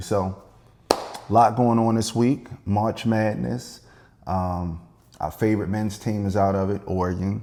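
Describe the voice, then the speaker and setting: Noticeable background noise behind a fairly low-pitched man with an American accent, moderate pace and ordinary pitch variation. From Maryland, US. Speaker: podcast co-host. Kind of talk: casual chat.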